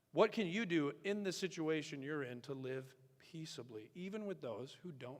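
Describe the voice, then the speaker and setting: A man's voice at a fairly high pitch, moderate pace, and lively intonation. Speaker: pastor. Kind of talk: sermon.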